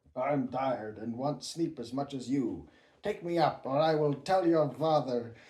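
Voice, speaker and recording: Here a man uses a put-on character voice. He keeps a moderate pace. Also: fairly high pitch for a man. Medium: read story. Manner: insistent.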